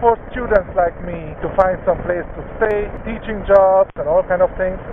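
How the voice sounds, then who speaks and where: A man's voice, high in pitch, moves at a moderate pace with noticeable background noise around it. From Hungary. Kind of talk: casual vlog talk while riding. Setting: outdoors, windy, on a motorcycle at night.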